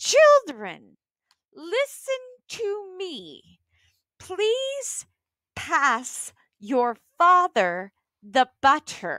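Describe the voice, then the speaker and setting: A woman puts on a strained character voice at an extremely high pitch, speaking very slowly with long, frequent pauses on a very clean recording with a silent background. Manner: unnatural, strained.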